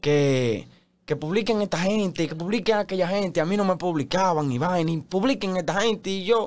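In a Dominican Cibao accent, a man speaks with a high pitch. He keeps a moderate pace with ordinary pitch variation. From Dominican Republic, Santiago; Dominican Republic. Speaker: TikTok content creator. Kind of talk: casual interview chat. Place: studio. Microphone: studio mic.

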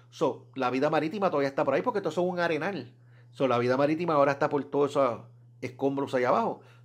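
The background is quiet as a man talks with a fairly high pitch and ordinary pitch variation. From Puerto Rico, Fajardo. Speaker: scuba diving YouTuber. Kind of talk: casual solo vlog talk. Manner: conversational, hesitant with repetitions.

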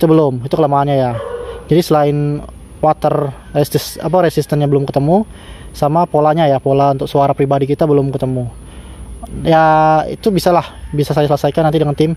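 A man with fairly high pitch talks at a very fast pace in a monotone, flat intonation. His loudness stays very even, and the sound is dry with no echo. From Indonesia. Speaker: DIY electronics YouTuber. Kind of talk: tutorial. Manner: casual, filler-heavy. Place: garden.

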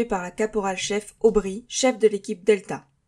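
A woman with a fairly high pitch and a plain, everyday voice speaks at a fairly slow pace with fairly even intonation. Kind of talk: sci-fi audio drama, mission report read aloud. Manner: formal, clipped, military.

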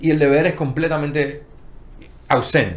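A man's fairly high voice with vocal fry. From Dominican Republic, Santo Domingo; Dominican Republic. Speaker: panel guest, creative professional; guest. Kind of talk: panel discussion. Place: studio. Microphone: studio mic.

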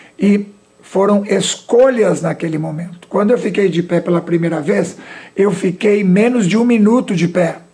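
Here a man speaks at a moderate pace. His pitch is high, with ordinary variation. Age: 60s. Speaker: motivational speaker and business director; motivational speaker. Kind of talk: interview on local TV talk show. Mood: calm, motivational. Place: studio.

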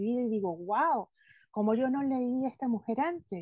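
A woman speaks fairly slowly at a high pitch with a dark, mellow tone and ordinary pitch variation, the sound dry with no echo and the background quiet. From Venezuela. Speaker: podcast host and former advertising copywriter; podcast host. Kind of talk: casual interview chat. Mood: warm, enthusiastic. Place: home room. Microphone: video call.

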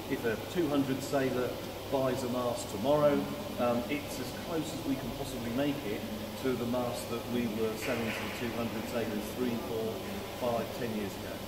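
A man keeps a moderate pace while loud background noise fills the clip. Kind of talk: interview answer. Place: factory. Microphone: camera far.

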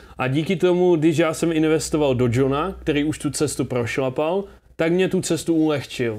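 Loudness stays very even as a man talks at a moderate pace in a fairly high pitch, with ordinary pitch variation. The background is quiet. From Czechia, Zlín; Czechia. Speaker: entrepreneur; interview guest. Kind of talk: casual interview. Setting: rented luxury apartment. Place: studio. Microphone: lapel.

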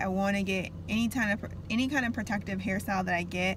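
A woman's voice, dry with no echo, amid noticeable background noise. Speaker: vlogger. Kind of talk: casual vlog chat. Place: car. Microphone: phone near.

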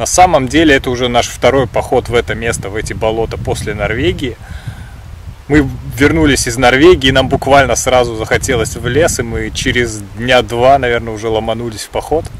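A man speaks at a fairly quick pace with ordinary pitch variation. The sound is dry with no echo, and light background noise can be heard. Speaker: hiking vlogger. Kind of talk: casual vlog chat. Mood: cheerful, relaxed. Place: forest.

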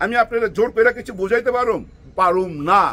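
Raised and projected, a man's extremely high-pitched voice comes across animated, with a bright, sharp tone. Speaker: political commentator. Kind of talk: political commentary monologue. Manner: animated, rhetorical.

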